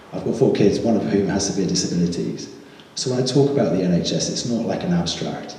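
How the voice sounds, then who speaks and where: Talking very fast with very wide pitch swings, a man is heard in a room with audible echo and noticeable background noise. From southern England, Buckinghamshire. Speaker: parliamentary candidate. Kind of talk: campaign speech. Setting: village hall hustings with audience.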